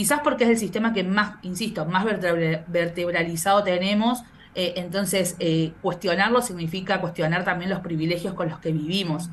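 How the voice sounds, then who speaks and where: A woman with a medium pitch talks with hardly any pauses. Noticeable background noise and audible room echo are present. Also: ordinary pitch variation, moderate pace. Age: 30s. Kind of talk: interview. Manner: halting, many repetitions.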